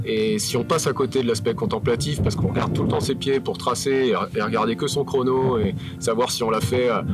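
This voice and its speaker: Music plays in the background as a man talks at a fairly quick pace. His medium-pitched voice keeps very even loudness. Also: ordinary pitch variation. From France, Paris. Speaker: mountain hiking guide. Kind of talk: outdoor interview. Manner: hesitant, many fillers.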